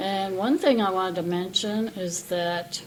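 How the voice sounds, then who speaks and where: Background noise is noticeable. The voice is a woman's. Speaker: vlogger. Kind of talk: testimony. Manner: halting.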